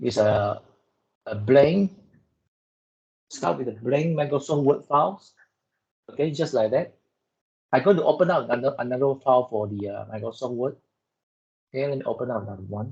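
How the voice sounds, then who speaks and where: This man speaks at a fairly quick pace with lively intonation and a somewhat breathy quality, yet breaks often into long pauses. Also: medium pitch for a man. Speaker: lab instructor. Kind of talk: lecture. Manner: soft-spoken.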